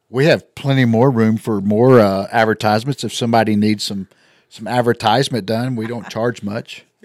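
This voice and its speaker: With fairly even intonation, a man in a West Texas accent is captured in a very clean recording against a silent background. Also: medium pitch for a man, moderate pace, dry, close sound with no echo. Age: 50s. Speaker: business co-owner and podcast host. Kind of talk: casual chat.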